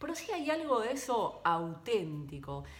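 A woman's voice with very wide pitch swings and audible room echo. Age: 40s. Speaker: podcast host, former TV reporter. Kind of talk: solo podcast monologue. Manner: halting.

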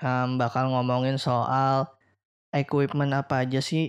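On a very clean recording with a silent background, the words come very slowly. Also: man. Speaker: podcast host. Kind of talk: casual chat. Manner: loud.

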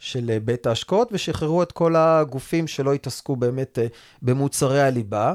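A man talks in a fairly high voice with very even loudness and ordinary pitch variation, an ordinary speaking voice, in a very clean recording with a silent background and a dry, close sound with no echo. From Israel, Rehovot. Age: 40s. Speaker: mortgage advisors' association chairman. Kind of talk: interview.

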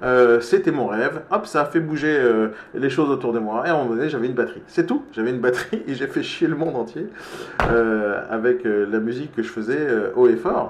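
A man's medium-pitched voice, lively intonation and a fairly quick pace, with noticeable background noise. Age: 40s. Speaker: entrepreneur and live-stream coach. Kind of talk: live-stream motivational talk. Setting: live video stream with participants. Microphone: microphone problem.

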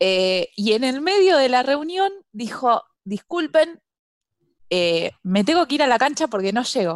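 A woman with a Buenos Aires accent, high pitch, very wide pitch swings, and fairly slow pace, in a dry, close sound with no echo. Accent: Rioplatense Spanish (Buenos Aires). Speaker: podcast co-host. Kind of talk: casual chat.

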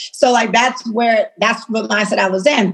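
A woman's ordinary speaking voice, fairly quick, with ordinary pitch variation. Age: 30s. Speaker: fashion entrepreneur. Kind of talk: casual interview.

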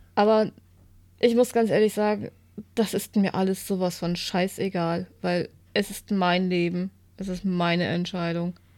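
A woman's medium-pitched voice moves at a fairly slow pace in a monotone, flat intonation, broken by long, frequent pauses. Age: 40s. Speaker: podcast co-host. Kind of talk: casual chat. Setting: home living room.

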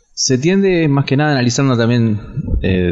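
There is noticeable background noise as a man speaks with a Rioplatense accent. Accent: Argentine Rioplatense Spanish. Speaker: journalist. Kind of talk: interview. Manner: halting.

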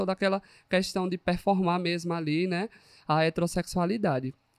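Someone with a Pernambuco accent talks at a moderate pace, the sound dry and close with no echo, in a very clean recording with a silent background. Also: man. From rural Pernambuco, Brazil. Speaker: psychologist. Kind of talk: casual chat.

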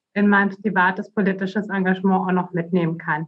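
A woman speaks in a somewhat breathy voice. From Bavaria, Germany. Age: 30s. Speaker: politician, election candidate. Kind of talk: interview.

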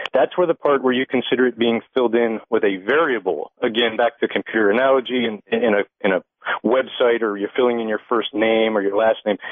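A man in a normal speaking voice, medium pitch, fairly even intonation and a fairly quick pace. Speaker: caller. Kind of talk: call-in conversation. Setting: phone call.

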